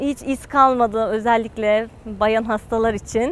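The sound is dry with no echo, over light background noise. A woman talks with ordinary pitch variation. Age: 20s. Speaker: patient, university student. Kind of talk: testimony. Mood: positive, relieved. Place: garden.

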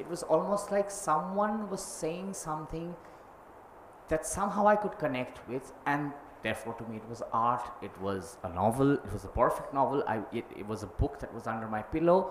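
Audible room echo and light background noise accompany a man speaking at a fairly high pitch. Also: moderate pace, big swings in loudness. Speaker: film director; speaker. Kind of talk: panel discussion. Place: hall. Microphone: handheld.

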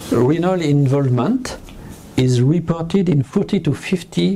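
A man speaks with lively intonation and a fairly high pitch. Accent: French. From France. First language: French. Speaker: pediatric nephrologist. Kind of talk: lecture. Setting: web conference. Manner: halting.

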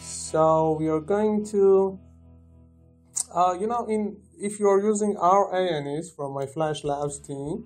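With music in the background, a man speaks in a non-native accent, his high pitch showing ordinary variation. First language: not English. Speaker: software developer. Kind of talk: software tutorial narration. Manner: hesitant, many filler sounds.

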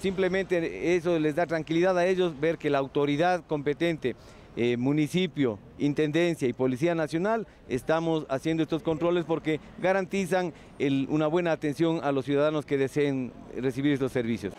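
Over light background noise, a man talks at a moderate pace with ordinary pitch variation. His loudness stays very even, and the sound is dry with no echo. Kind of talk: interview answer. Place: street. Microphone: handheld.

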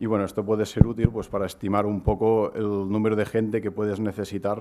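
Speaking in a monotone with flat intonation, a man has a dark, mellow tone and a fairly low pitch. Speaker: crowdfunding platform co-founder; presenter. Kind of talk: conference talk. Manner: fast, hesitant with fillers. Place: hall. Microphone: podium.

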